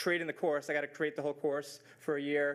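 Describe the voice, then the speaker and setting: A man is speaking. His pace is fairly quick. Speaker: teacher. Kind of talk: presentation. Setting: school board meeting. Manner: fast; animated.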